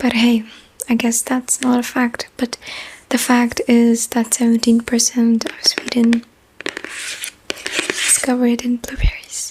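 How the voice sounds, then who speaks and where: A soft-spoken woman whispers at a very slow pace over noticeable background noise. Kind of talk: casual talk to camera, random facts. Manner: soft-spoken, whispering.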